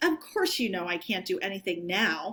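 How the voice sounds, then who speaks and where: A gruff, put-on character voice with lively intonation at a moderate pace. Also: woman. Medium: read story. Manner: paternal.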